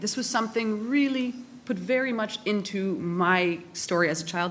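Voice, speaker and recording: A normal speaking voice, a woman talks in a Canadian accent at a fairly slow pace with ordinary pitch variation. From Canada. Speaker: academic respondent at a conference. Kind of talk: panel debate response.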